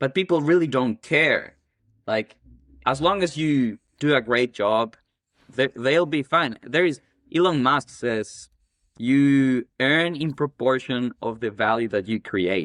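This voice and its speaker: Someone with an Ecuadorian accent speaks at a very slow pace with lively intonation. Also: man, medium pitch for a man. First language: Spanish. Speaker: cleaning business owner. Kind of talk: casual interview chat.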